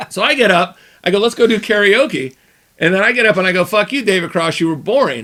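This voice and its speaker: Talking at a very fast pace, a man uses a raised, projected voice that is high-pitched for a man, with a bright, sharp tone and lively intonation. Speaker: podcast co-host. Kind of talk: casual chat. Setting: studio.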